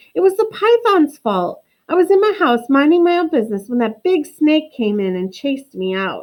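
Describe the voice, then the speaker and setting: A woman uses a put-on character voice, high and shaky, with very wide pitch swings. She talks at a moderate pace with hardly any pauses. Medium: read story. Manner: timid, trembling.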